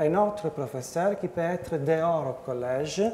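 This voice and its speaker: A man with an Italian accent speaks at a high pitch. Audible room echo and noticeable background noise surround his voice. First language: Italian (speaking French). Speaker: professor. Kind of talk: conference talk. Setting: conference with audience. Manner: halting, many hesitations; slow.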